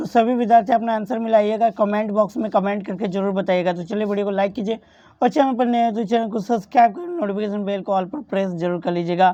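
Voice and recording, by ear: A woman with a dark, mellow tone and medium pitch talks at a fast pace with few pauses and ordinary pitch variation.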